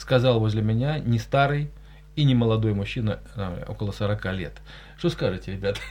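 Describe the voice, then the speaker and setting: Somewhat breathy, the voice moves with ordinary pitch variation and long, frequent pauses. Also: man, fairly low pitch for a man, moderate pace. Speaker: radio host, journalist. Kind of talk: live radio talk show. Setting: studio.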